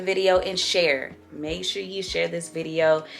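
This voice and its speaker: Over music in the background, a woman speaks at a fairly low pitch. Her tone is animated and her pace fairly slow. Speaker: lifestyle vlogger. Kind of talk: casual vlog talk to camera. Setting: at home, home office.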